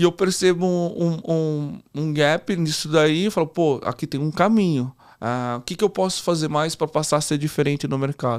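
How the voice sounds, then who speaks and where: An ordinary speaking voice from a man, at a moderate pace with ordinary pitch variation, on a very clean recording with a silent background. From Brazil, interior of São Paulo state. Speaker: entrepreneur, franchise founder. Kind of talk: podcast interview.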